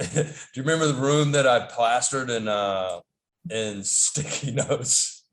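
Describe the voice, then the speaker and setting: A man with a Southern US accent, medium in pitch, at a moderate pace with ordinary pitch variation. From US South, North Carolina. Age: 40s. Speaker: podcast guest. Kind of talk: casual interview chat. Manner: halting, many fillers and repeats.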